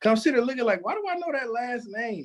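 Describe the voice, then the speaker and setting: A man speaks loudly. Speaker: podcast co-host. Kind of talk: casual chat. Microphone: audio distorts from screaming.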